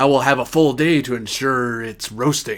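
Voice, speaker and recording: Putting on a character voice, a man speaks at a medium pitch and moderate pace with fairly even intonation. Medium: actual play. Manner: formal, deferential.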